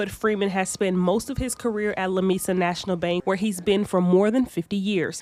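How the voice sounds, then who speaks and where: A woman with an unremarkable speaking voice talks at a fairly quick pace, her medium pitch held in fairly even intonation. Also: hardly any pauses. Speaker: TV news reporter. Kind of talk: TV news report narration.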